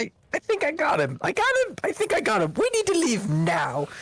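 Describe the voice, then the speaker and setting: A high-pitched, put-on character voice at a fairly quick pace. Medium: actual play. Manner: announces its tone before speaking.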